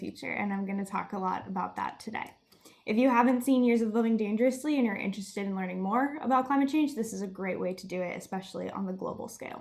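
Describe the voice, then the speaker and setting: This voice moves at a very fast pace with ordinary pitch variation over noticeable background noise. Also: woman. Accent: American. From Miami, Florida. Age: 20s. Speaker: student climate activist. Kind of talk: presentation.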